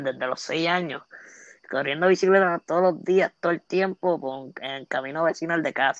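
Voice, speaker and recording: A woman talks at a fairly slow pace in a very deep, low pitch. The sound is dry and close, with no echo. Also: quiet background. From Puerto Rico, Aguas Buenas. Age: 20s. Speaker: social media comedian. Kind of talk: casual interview. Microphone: internet cutting out.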